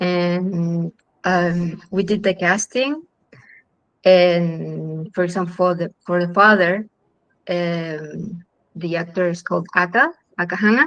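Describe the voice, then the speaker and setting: A fairly low-pitched woman with a Chilean accent, a fairly slow pace and fairly even intonation. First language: Spanish. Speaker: film director. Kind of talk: panel interview. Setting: online live stream. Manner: halting, many fillers.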